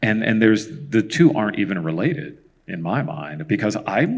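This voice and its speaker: In an American accent, a man with a fairly low pitch talks at a moderate pace with very wide pitch swings, on a very clean recording with a silent background. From San Jose, California. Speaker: tech engineer, keynote speaker. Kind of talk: panel Q&A.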